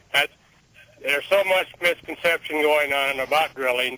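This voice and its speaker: Dry and close with no echo, the recording captures a man with an ordinary speaking voice and a fairly high pitch talking at a moderate pace with ordinary pitch variation. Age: 60s. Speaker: caller, oil field worker. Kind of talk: radio call-in. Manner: casual.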